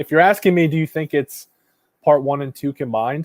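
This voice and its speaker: Dry and close with no echo, a man's voice sits at a fairly high pitch with ordinary pitch variation. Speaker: YouTube movie reviewer. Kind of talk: live stream chat. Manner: fast.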